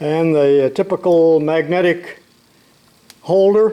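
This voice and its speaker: High-pitched male voice with a relaxed tone amid noticeable background noise. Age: 80s+. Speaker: retired shop teacher, tool video maker. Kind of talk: casual tutorial. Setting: home workshop. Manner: relaxed, folksy.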